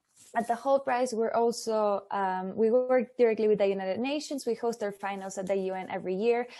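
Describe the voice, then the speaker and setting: A woman with a Spanish accent talks at a moderate pace in a fairly high voice with ordinary pitch variation. The background is quiet. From Mexico. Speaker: startup competition representative. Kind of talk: webinar presentation. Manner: halting.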